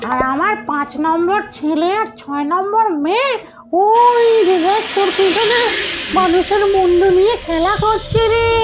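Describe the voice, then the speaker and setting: Over clear background noise, a put-on character voice at an extremely high pitch moves along at a moderate pace. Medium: comedy sketch.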